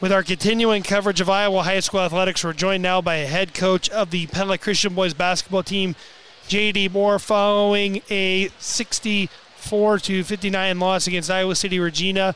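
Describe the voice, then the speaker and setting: The man's pitch is high and his intonation monotone and flat. He keeps a very even loudness at a moderate pace. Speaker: sports play-by-play announcer and interviewer. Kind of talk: live play-by-play sports commentary.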